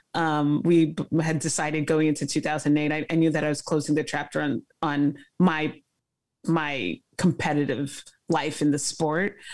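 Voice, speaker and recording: A woman with an American accent speaks in a very deep, low voice with flat, monotone intonation. The background is quiet. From Brooklyn, New York (Flatbush); New York. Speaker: former Olympic fencer; guest. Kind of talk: interview. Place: home room. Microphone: video call.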